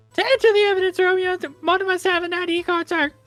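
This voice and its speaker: A woman's squeaky, put-on character voice at a very fast pace, with music in the background. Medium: game stream. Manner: deferential, ending lines with 'sir'.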